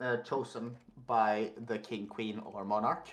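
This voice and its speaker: A fairly slow pace from a man of medium pitch. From Norway, Tromsø. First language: Norwegian. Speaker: worldbuilding guest. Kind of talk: casual chat. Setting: live stream. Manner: halting.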